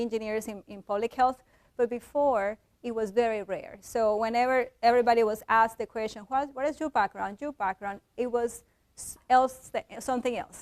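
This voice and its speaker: A woman with a Colombian accent speaks at a moderate pace, her high pitch held in fairly even intonation. The recording is very clean with a silent background, and the sound is dry and close with no echo. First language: Spanish. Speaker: engineer and visiting fellow. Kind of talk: lecture.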